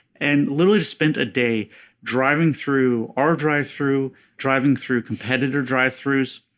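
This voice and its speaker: A man with an American accent, fairly high pitch and ordinary pitch variation at a moderate pace, in a very clean recording with a silent background. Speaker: product manager at a fast-food chain. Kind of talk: podcast interview. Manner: animated.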